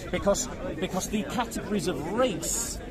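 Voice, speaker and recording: A high-pitched man speaks at a fairly quick pace with lively intonation, with crowd noise in the background and audible room echo. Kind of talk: street debate.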